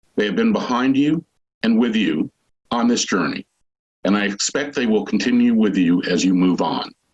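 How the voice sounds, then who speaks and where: A man's medium-pitched voice at a moderate pace, an unremarkable speaking voice with a dry, close sound and no echo. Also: ordinary pitch variation, very even loudness. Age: 60s. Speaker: school official and parent giving commencement speech. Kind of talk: commencement speech. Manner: formal.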